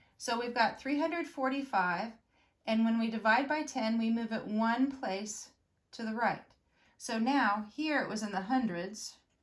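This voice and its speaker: Speaking very slowly, a woman uses a fairly high, somewhat breathy voice with ordinary pitch variation. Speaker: elementary school teacher. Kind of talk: video lesson for pupils. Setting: recorded video lesson.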